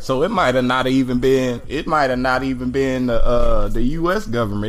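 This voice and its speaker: A medium-pitched man's voice with ordinary pitch variation and hardly any pauses, plus audible room echo and noticeable background noise. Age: 30s. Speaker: podcast host. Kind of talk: casual chat. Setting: in person with friends. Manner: casual, with frequent fillers.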